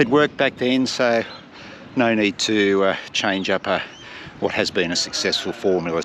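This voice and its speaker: A man with an Australian accent speaks in a relaxed tone with ordinary pitch variation, leaving long, frequent pauses over noticeable background noise. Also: fairly low pitch for a man, moderate pace. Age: 50s. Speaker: marathon runner vlogger. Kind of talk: casual vlog narration. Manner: relaxed, conversational.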